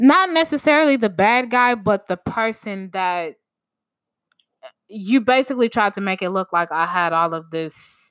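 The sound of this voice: A woman with a fairly bright tone, lively intonation and a fairly slow pace. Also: medium pitch for a woman.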